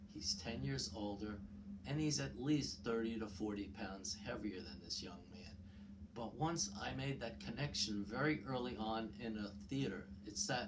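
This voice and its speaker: A man with a New York accent speaks at a fairly low pitch with very wide pitch swings. Audible room echo and noticeable background noise fill the recording. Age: 60s. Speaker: YouTube commentator. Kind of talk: personal storytelling monologue. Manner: hesitant, many fillers.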